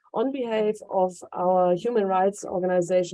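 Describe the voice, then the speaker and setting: Speaking at a moderate pace with a German accent, a woman has a medium pitch, ordinary pitch variation and a dark, mellow tone. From Germany, Hanover, Kurdish Yazidi family. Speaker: human rights activist, organization founder. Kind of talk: welcome speech. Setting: stage with audience.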